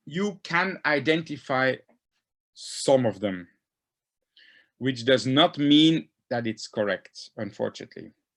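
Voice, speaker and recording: A man of medium pitch with a non-native accent, very slow and marked by long, frequent pauses, in a dry, close sound against a quiet background. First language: not English. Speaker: diatom taxonomist. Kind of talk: lecture. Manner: halting.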